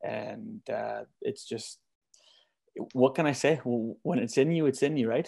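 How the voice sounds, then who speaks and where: A man speaks with a Canadian prairie accent at a fairly slow pace. The recording is very clean, with a silent background. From Manitoba, Canada. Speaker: singer-songwriter. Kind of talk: casual interview chat.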